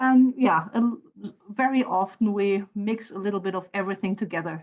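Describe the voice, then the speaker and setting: The speaker has a German accent and talks at a moderate pace with ordinary pitch variation. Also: woman. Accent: German (Saarland) accent in English. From Germany, Saarland. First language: German (Saarlandish dialect). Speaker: university lecturer and translator. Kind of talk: online class discussion.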